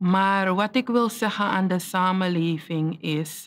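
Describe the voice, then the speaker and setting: A woman's medium-pitched voice, very slow pace and fairly even intonation, over a quiet background. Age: 30s. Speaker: teacher; teacher telling life story. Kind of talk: testimony. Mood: earnest, reflective, emotional topic. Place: studio.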